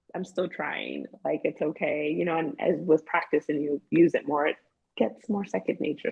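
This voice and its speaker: A woman's fairly low voice with vocal fry at a moderate pace. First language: Spanish. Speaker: therapist. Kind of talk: interview. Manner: animated.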